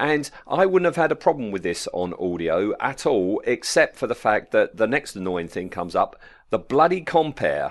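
A man with a British accent talks at a moderate pace, hardly pausing at all, against a quiet background. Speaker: podcast co-host. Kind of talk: casual chat. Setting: remote audio call.

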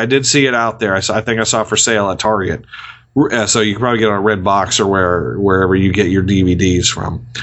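Speaking at a fairly quick pace, a man sounds animated. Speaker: movie review podcast host. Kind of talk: casual banter, movie review podcast. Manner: animated, joking.

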